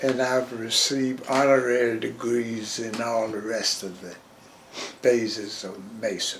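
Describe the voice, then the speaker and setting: Amid noticeable background noise and audible room echo, a man speaks at a fairly slow pace in a medium pitch, monotone and flat, with big swings in loudness. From US South, Georgia and Jacksonville, Florida. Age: 100. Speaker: retired railroad porter. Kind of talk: oral history interview. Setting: interview in Jacksonville.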